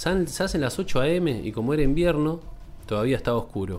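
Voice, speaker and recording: This man talks at a fairly quick pace with a Rioplatense accent. His pitch swings very widely. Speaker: podcast host. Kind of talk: reading aloud.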